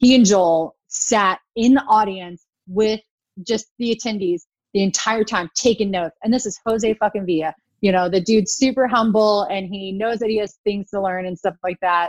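An unremarkable speaking voice with an American accent, fairly even intonation and a moderate pace, dry and close with no echo, quiet background. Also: woman, medium pitch for a woman. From US Midwest. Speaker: wedding photographer. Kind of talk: casual chat. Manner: humorous, playful.

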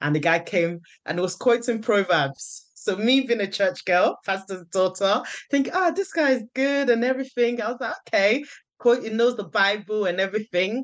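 A woman at a moderate pace, an ordinary speaking voice with fairly high pitch and lively intonation. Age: 30s. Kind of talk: casual chat.

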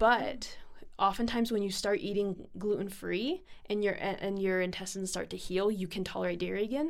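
A woman speaks at a moderate pace with an ordinary speaking voice. Her pitch sits in the medium range. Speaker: student nurse. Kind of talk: casual interview chat, personal story.

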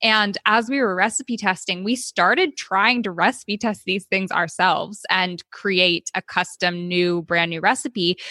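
In a Californian accent, a woman with a bright, sharp tone talks at a fairly slow pace and medium pitch with hardly any pauses, ordinary pitch variation, and a dry, close sound with no echo. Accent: Californian American. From California, Oakland. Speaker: cookbook author. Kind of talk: casual interview.

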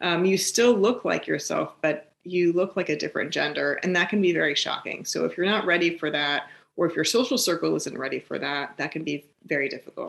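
With an American accent and vocal fry, a woman with a fairly low pitch and ordinary pitch variation speaks at a fairly quick pace with hardly any pauses against a quiet background. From US West Coast, San Francisco East Bay. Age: 40s. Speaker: facial surgeon. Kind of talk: interview, explaining medical topic. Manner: hesitant, many fillers.

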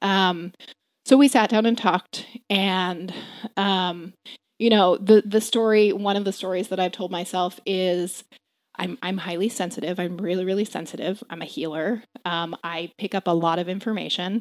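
A woman with an American accent talks at a moderate pace with fairly even intonation and an ordinary speaking voice. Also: medium pitch for a woman. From Maryland, US. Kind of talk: personal testimony.

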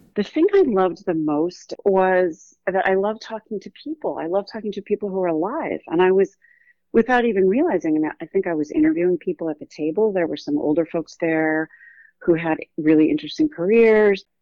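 With a West Coast US accent, a woman speaks at a medium pitch and a fairly quick pace. Her intonation is lively. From Oregon, US West Coast. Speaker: author and journalist. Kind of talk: interview.

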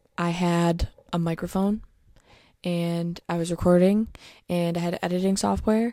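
This woman's voice sits at a fairly low pitch. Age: 20s. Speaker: podcaster. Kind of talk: casual solo podcast monologue. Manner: casual, chatty.

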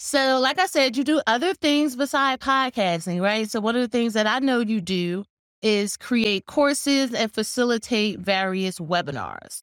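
A woman speaks in a plain, everyday voice with lively intonation at a moderate pace. The recording is very clean with a silent background and a dry, close sound with no echo. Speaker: podcast host. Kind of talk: interview and show intro. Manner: warm, upbeat.

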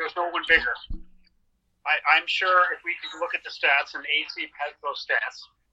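Here a man with a Canadian accent talks at a moderate pace. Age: 60s. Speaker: wrestling historian. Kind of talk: interview.

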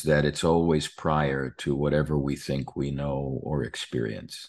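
A man's very deep, low voice with an American accent, at a very slow pace over a quiet background. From New York. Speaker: pastor and author. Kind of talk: interview.

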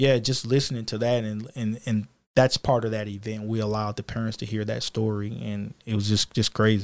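A man with a Louisiana accent and a fairly low pitch talks at a fairly quick pace with hardly any pauses and monotone, flat intonation, in a very clean recording with a silent background. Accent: US South, Louisiana. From Louisiana, near New Orleans (Kenner). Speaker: police officer and youth mentor. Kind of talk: casual interview chat.

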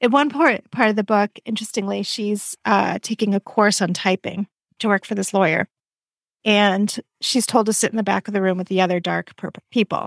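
Using an ordinary speaking voice, a woman talks at a medium pitch and a moderate pace with fairly even intonation. The recording is very clean, with a silent background and a dry, close sound with no echo. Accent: American. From Massachusetts suburbs. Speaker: podcast co-host. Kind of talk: casual book chat.

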